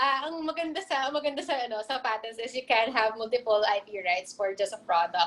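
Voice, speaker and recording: This woman's voice is high-pitched, with a bright, sharp tone. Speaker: intellectual property specialist. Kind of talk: lecture Q&A. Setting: video call. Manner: fast.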